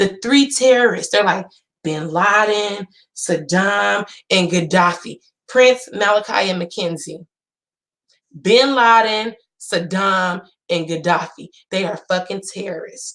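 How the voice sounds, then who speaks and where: In an animated tone, a woman speaks at a medium pitch and a fairly slow pace, with ordinary pitch variation and long, frequent pauses. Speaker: YouTube commentator. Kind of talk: casual vlog rant. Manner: loud.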